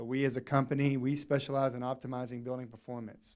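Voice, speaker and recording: A man with a Southern US accent has a dark, mellow tone and medium pitch. He talks at a fairly quick pace in a flat monotone. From Arkansas. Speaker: energy services company representative. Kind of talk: presentation to city council. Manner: loud.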